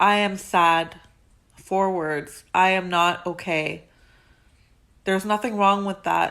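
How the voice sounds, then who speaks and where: A woman speaks loudly at a medium pitch, her tone bright and sharp and her intonation fairly even. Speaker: motivational vlogger. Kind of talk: motivational talk to camera. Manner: halting, many fillers.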